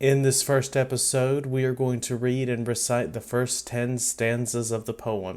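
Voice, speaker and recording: A man's monotone, flat delivery at medium pitch and a fairly slow pace with hardly any pauses, in a very clean recording with a silent background. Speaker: podcast host. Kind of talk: podcast introduction.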